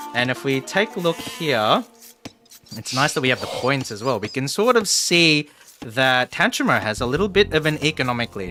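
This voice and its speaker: Lively intonation marks a man's medium-pitched voice at a moderate pace. Noticeable background noise runs underneath. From Australia. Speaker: streamer and game commentator. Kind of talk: live game commentary. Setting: live stream.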